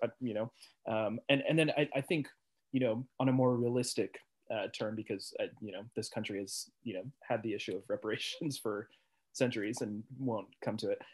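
A man's unremarkable speaking voice with an American accent, medium pitch, fairly even intonation and a fairly quick pace. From Portland, Oregon. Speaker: podcast guest. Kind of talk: casual chat.

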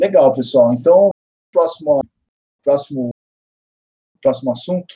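Dry and close with no echo, a man's voice has a dark, mellow tone, fairly high pitch and ordinary pitch variation. He talks at a fairly slow pace with long, frequent pauses. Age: 30s. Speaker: podcast host. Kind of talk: casual chat.

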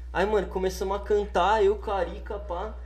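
Speaking fairly quickly, a man is heard through noticeable background noise and audible room echo. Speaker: musician. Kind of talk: casual chat. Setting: studio.

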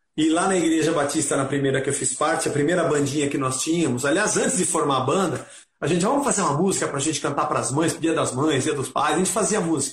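A man talks very fast at a fairly high pitch, with ordinary pitch variation. Room echo is clearly audible. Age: 50s. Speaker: rock musician. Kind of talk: casual interview.

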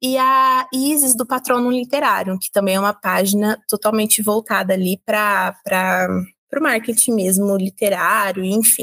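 At a fairly slow pace, a woman with a normal speaking voice and fairly high pitch uses lively intonation in a dry, close recording with no echo. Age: 20s. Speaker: independent novelist. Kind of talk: interview.

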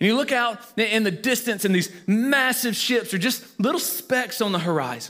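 With a Southern US accent, this bright, sharp voice moves at a moderate pace, its intonation lively and its loudness very even. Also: man, high pitch for a man. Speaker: pastor. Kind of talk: sermon. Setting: church.

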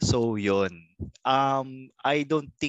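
Recorded with a dry, close sound with no echo and a quiet background, a man speaks with ordinary pitch variation. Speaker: comedy podcast host. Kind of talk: casual chat.

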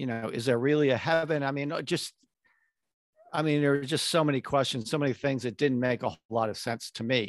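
A man with a normal speaking voice talks at a fairly quick pace and a fairly high pitch, with fairly even intonation, in a very clean recording with a silent background and a dry, close sound with no echo. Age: 60s. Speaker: documentary maker. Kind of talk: casual interview conversation.

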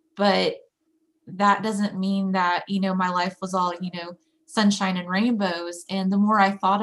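Moderate-paced speech from a woman, medium in pitch and somewhat breathy, its intonation monotone and flat. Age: 30s. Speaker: peer support specialist and graphic designer. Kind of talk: casual interview.

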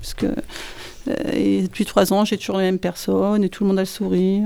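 Pausing hardly at all, this woman keeps to a moderate pace. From northern France. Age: 50s. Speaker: bakery manager. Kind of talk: interview.

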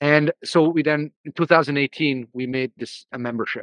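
A man with an ordinary speaking voice, fairly high in pitch, with fairly even intonation, in a dry, close sound with no echo against a quiet background. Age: 30s. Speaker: founder of a men's coaching program. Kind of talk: interview.

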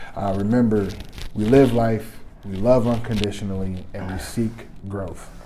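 Amid audible room echo, a man talks at a moderate pace with fairly even intonation and big swings in loudness. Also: fairly low pitch for a man. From Detroit, Michigan. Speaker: podcaster. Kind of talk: casual chat.

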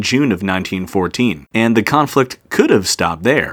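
A man talks in an ordinary speaking voice at a medium pitch and a moderate pace. The recording is very clean, with a silent background. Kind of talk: history documentary narration, scripted daily-history segment. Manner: measured, steady and formal, like an authoritative narrator; clear, even-paced, serious in tone.

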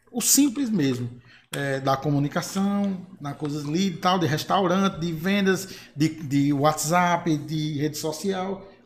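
A man with an ordinary speaking voice and fairly high pitch. He talks at a fairly slow pace with ordinary pitch variation. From Bahia, Brazil (Marizal). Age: 30s. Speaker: singer and graphic designer. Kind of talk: panel discussion.

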